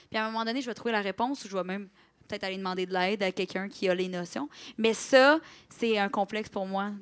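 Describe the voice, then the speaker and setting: In a very clean recording with a silent background, the woman's words come out very fast. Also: medium pitch for a woman, ordinary pitch variation. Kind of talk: casual chat. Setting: stage with audience.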